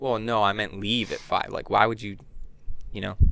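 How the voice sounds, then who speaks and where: In a very clean recording with a silent background, a man talks at a very fast pace with a fairly low pitch, a bright, sharp tone, and monotone, flat intonation. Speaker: podcast co-host. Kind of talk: casual chat. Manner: quiet, soft-spoken.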